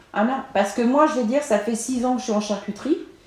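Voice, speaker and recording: A woman is speaking. Her intonation is lively. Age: 50s. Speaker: supermarket worker. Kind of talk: interview testimony. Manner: halting, many hesitations.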